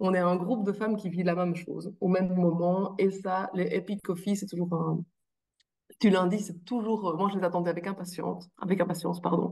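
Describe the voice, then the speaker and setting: With a slight Belgian accent, a woman speaks fairly quickly in a medium-pitched, somewhat breathy, dark, mellow voice with monotone, flat intonation. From Belgium. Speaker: coaching client sharing testimony. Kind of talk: testimony interview. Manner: hesitant, many fillers.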